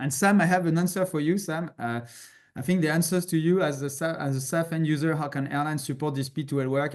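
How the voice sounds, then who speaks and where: A man talks at a fairly quick pace and a fairly high pitch. His intonation is fairly even, and the background is quiet. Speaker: webinar moderator for an industry association. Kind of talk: webinar Q&A moderation. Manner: halting, many fillers.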